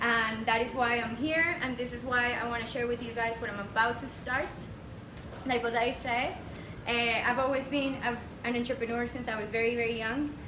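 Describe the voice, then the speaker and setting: A woman's high voice at a moderate pace, fairly even in intonation, with audible room echo and noticeable background noise. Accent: Spanish. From Panama. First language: Spanish. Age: 20s. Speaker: entrepreneur. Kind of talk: presentation to audience. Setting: stage with audience.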